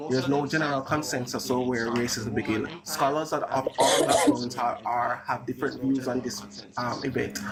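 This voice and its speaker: Amid noticeable background noise, a man speaks at a medium pitch with fairly even intonation. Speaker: debate streamer. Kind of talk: heated debate. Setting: live stream. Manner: fast.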